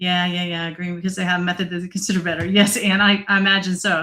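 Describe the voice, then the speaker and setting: A woman speaks in a bright, sharp tone with an American accent. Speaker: data analytics presenter. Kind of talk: online presentation.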